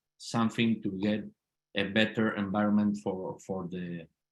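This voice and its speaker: In an Argentine accent, a man speaks with a fairly low pitch. His intonation is monotone and flat. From Argentina, Mendoza. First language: Spanish. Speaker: politician. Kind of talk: interview. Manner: halting, repeats words.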